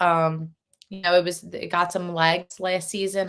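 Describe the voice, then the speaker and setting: Speaking with a Philadelphia accent, a woman keeps a fairly low pitch and fairly even intonation. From US, Philadelphia (South Philly). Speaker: singer and podcast host. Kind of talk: interview. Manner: casual, many fillers.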